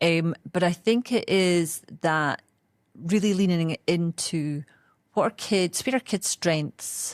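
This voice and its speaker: A woman speaks very slowly with a Scottish accent, at a fairly low pitch with ordinary pitch variation. The recording is very clean, dry, and close, with no echo and a silent background. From Scotland. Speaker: education executive. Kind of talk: interview.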